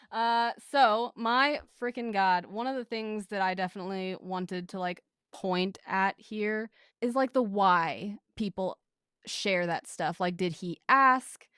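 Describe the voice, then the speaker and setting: A woman with an American accent speaks fairly slowly at a medium pitch with ordinary pitch variation and a bright, sharp tone, in a dry, close sound with no echo and a very clean recording against a silent background. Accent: regional accent from a conservative US state. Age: late 20s. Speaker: podcast editor appearing as guest. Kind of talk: casual chat.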